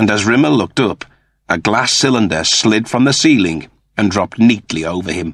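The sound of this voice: Intonation is lively in an unforced reading voice. Nothing but quiet lies in the background.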